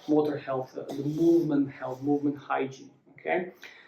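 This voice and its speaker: A man talks at a moderate pace with a non-native accent. His voice sits at a fairly high pitch. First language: not English. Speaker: movement and mobility coach. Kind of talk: follow-along exercise tutorial. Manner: halting, many fillers.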